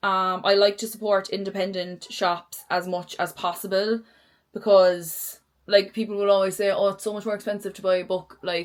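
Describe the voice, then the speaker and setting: With a Cork accent, a woman speaks in a monotone, flat intonation at a moderate pace and medium pitch, her loudness swinging widely. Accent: Cork Irish. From Ireland, Cork. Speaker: book vlogger. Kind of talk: casual chat. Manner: casual, rambling filler words.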